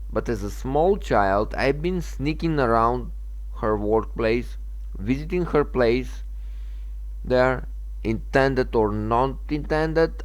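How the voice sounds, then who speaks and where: Speaking very slowly with a Macedonian accent, a man is heard with audible room echo. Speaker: gaming channel owner. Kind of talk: opinion monologue. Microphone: bad sound at the very beginning.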